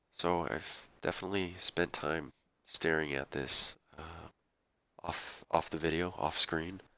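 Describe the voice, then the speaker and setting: With a bright, sharp tone and vocal fry, a man with a very deep, low voice speaks at a fairly slow pace and fairly even intonation on a very clean recording with a silent background. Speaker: let's play gamer. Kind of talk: gameplay commentary. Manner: halting.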